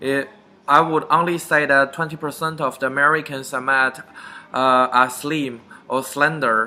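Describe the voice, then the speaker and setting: A man speaks in a Chinese accent at a fairly high pitch. His tone is bright and sharp, and his intonation stays flat and monotone. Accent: Chinese (Mandarin). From China, Beijing. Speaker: vlogger. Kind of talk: casual talk to camera.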